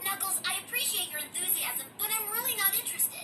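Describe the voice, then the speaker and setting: A cartoonish character voice, extremely high-pitched and very fast. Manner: casual, wry.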